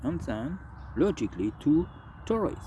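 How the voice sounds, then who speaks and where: With a dark, mellow tone, a man speaks somewhat breathily, his pitch swinging very widely. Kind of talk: political commentary to camera. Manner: slow, hesitant.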